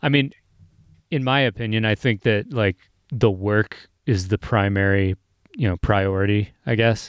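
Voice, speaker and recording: In a dry, close sound with no echo, a man speaks at a moderate pace with long, frequent pauses, a fairly low pitch and ordinary pitch variation. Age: 30s. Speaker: podcast host and artist. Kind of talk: casual interview chat. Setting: remote call.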